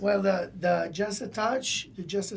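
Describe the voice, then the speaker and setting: A man with an Italian accent at a moderate pace, amid noticeable background noise. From Italy. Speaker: wine company co-founder. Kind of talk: podcast interview answer. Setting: studio.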